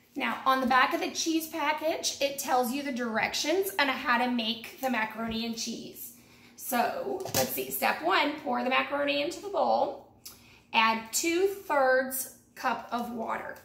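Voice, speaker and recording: With audible room echo around her, a woman speaks in a high pitch at a fairly slow pace. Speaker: home cooking vlogger. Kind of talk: tutorial. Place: kitchen. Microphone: camera far.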